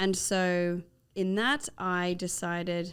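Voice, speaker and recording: Speaking in an Australian accent, this woman's voice sits at a medium pitch. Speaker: nurse and health nonprofit founder. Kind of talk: podcast interview.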